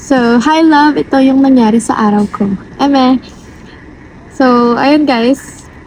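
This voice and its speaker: A woman's high-pitched voice, fairly slow with long, frequent pauses, fairly even in intonation and very even in loudness, against noticeable background noise. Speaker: racer and vlogger. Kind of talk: vlog. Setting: in a car. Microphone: no external mic, voice quiet.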